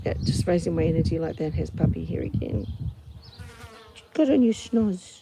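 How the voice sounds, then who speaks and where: Speaking with a New Zealand accent, a woman keeps a calm tone at a moderate pace with long, frequent pauses. Noticeable background noise sits under her voice. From New Zealand, Auckland. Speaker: podcaster. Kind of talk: casual monologue. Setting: outdoors on farm doorstep.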